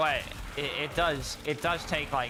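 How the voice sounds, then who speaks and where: A man at a moderate pace, music playing behind him. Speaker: gaming streamer. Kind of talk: casual chat. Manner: casual, trips over words.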